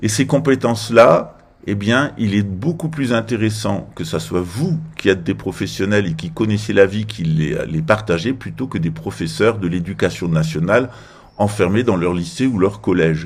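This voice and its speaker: This man has a plain, everyday voice, fairly low in pitch, moving at a moderate pace with lively intonation. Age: 50s. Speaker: political commentator. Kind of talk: political monologue.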